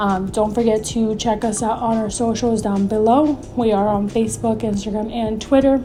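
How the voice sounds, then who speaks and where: The speech moves at a moderate pace with flat, monotone intonation. Room echo is audible, and background noise is noticeable. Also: woman. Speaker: nonprofit founder and video host. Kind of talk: informational talk to camera. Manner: frequent filler ums.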